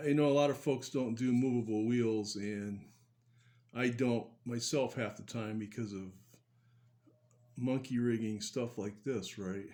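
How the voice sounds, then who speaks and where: A man's medium-pitched, dark and mellow voice, fairly slow and even in intonation, with long, frequent pauses. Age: 70s. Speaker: model car builder, channel host. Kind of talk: hobby tutorial. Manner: casual, hesitant with many fillers.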